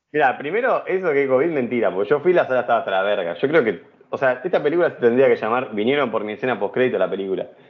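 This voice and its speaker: Barely pausing, a man rattles along at a very fast pace in a medium pitch with lively intonation. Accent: Rioplatense. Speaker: podcast host. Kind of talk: casual chat.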